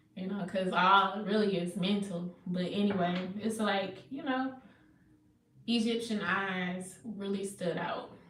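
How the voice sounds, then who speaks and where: Very slowly and with fairly even intonation, a woman speaks at a medium pitch amid noticeable background noise and audible room echo. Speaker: psychic medium and spiritual healer. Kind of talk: casual livestream chat. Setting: away from home, on wi-fi. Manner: loud.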